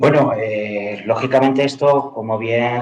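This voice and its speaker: In an ordinary speaking voice, a man talks at a fairly slow pace with fairly even intonation. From Andalusia, Cádiz. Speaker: university professor. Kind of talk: panel discussion.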